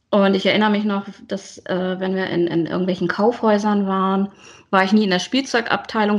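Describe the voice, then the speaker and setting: A woman in a plain, everyday voice, medium pitch, ordinary pitch variation and a fairly quick pace, against a quiet background. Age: 40s. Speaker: teacher and planner enthusiast. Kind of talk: casual interview chat.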